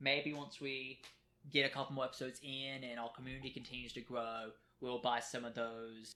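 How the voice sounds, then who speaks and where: Loud and bright, with a sharp tone, a man speaks at a medium pitch and a moderate pace. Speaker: podcast co-host. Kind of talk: casual chat. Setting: home recording at kitchen table. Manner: trying to talk louder.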